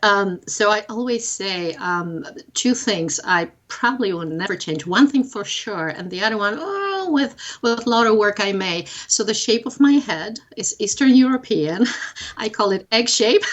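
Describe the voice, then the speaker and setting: Noticeable background noise sits under a voice with a slight Polish accent, lively intonation and a fairly slow pace. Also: woman. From Poland. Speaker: psychedelic facilitator. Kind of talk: interview conversation. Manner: halting.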